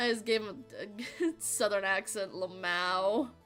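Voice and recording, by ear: A natural voice reading aloud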